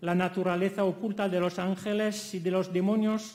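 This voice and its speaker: A man with a French accent talks at a fairly slow pace in a high pitch with fairly even intonation. Noticeable background noise runs underneath. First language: French (speaking Spanish). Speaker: academic conference speaker. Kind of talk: conference lecture. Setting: conference hall.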